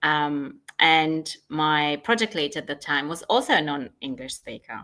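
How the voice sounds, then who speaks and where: Delivery is fairly slow, with a bright, sharp tone. The intonation is lively, and the loudness swings widely. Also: woman, very deep, low pitch for a woman. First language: not English. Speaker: change management consultant. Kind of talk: interview. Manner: halting with many fillers.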